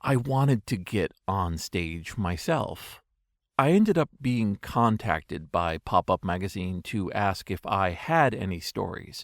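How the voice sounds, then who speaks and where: A man's fairly low voice with lively intonation at a fairly slow pace, dry and close with no echo, on a very clean recording with a silent background. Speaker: digital archivist and storyteller. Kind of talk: storytelling monologue. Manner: extemporaneous.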